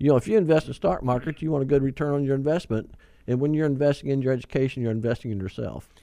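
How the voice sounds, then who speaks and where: Speaking at a very fast pace, a man uses a medium pitch with ordinary pitch variation and a dark, mellow tone. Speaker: bank worker and guest, host's father. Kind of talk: casual chat on radio show. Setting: studio.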